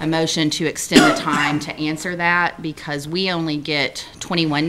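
Noticeable background noise surrounds a woman whose very deep, low pitch carries fairly even intonation. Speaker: attorney giving legal report. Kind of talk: committee report. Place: meeting room. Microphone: podium.

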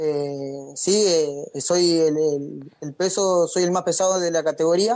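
The speaker goes at a very slow pace with hardly any pauses and ordinary pitch variation. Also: man, high pitch for a man. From Argentina, Entre Ríos (Gualeguaychú). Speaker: racing driver. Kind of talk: radio interview. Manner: halting.

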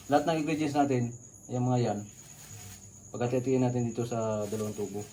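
The speaker moves at a fairly quick pace with fairly even intonation. Audible room echo and noticeable background noise come through. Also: man. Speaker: video blogger making homemade ice cream. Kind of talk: cooking tutorial. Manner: casual, chatty.

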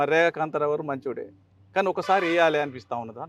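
Fairly high-pitched for a man, this is an unremarkable speaking voice with fairly even intonation, recorded dry and close with no echo against a quiet background. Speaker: politician, former state legislator. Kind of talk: news interview.

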